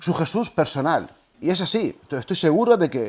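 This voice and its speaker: Talking at a very fast pace, a man uses lively intonation and a high pitch, on a very clean recording with a silent background. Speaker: historian and lecturer on religion. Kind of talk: lecture.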